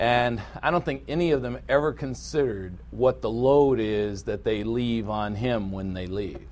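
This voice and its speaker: A man with an American accent has a plain, everyday voice, fairly low in pitch with lively intonation. He talks at a moderate pace with hardly any pauses. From US inner city. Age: 60s. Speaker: pastor and Bible teacher. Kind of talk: sermon and Bible lesson.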